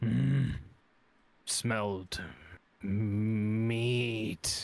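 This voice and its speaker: A man puts on a booming character voice at a fairly low pitch. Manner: growling, sniffing out prey.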